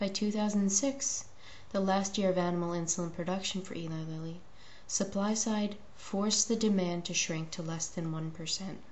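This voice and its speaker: A quiet woman speaks at a moderate pace and medium pitch with fairly even intonation, amid noticeable background noise and audible room echo. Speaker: video blogger and diabetes advocate. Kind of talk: opinion monologue.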